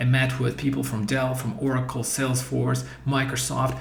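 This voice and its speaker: A man at medium pitch with ordinary pitch variation, plus audible room echo and noticeable background noise. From Eastern Europe. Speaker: career coach. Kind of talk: course introduction. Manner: halting.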